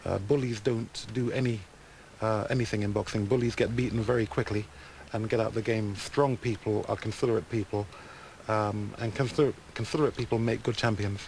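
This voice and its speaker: A man's medium-pitched voice at a fairly quick pace with fairly even intonation over noticeable background noise. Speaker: retired boxer. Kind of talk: interview answer.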